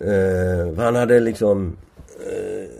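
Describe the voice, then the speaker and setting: The man's voice has a dark, mellow tone and sits fairly low in pitch. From Sweden, Gothenburg. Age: 70s. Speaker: sociologist and professor. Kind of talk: interview conversation. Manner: halting, many repetitions and fillers.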